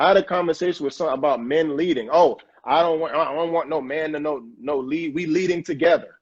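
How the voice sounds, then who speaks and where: A man with an ordinary speaking voice, fairly high pitch, a fairly quick pace, fairly even intonation and hardly any pauses. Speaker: talk show host. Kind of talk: casual chat.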